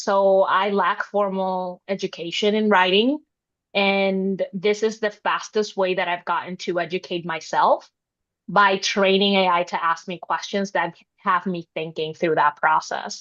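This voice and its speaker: Over a quiet background, a woman with a non-native accent speaks at a medium pitch and fairly slow pace with fairly even intonation. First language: not English. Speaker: writer, panelist. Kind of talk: panel discussion.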